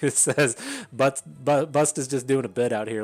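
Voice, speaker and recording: Ordinary pitch variation marks this man's speech, delivered with an American accent. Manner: casual, many filler sounds and hesitations.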